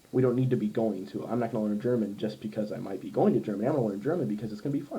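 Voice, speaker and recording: With an American accent, a man talks at medium pitch using lively intonation. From US Midwest, Ohio. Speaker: language learner, polyglot vlogger. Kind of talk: casual vlog monologue. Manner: many fillers, halting.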